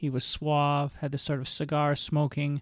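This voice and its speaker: A man with a Canadian accent and fairly high pitch at a moderate pace, in a very clean recording with a silent background. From Ontario, Canada (St. Catharines). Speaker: podcast host sharing illness recovery story. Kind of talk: personal monologue.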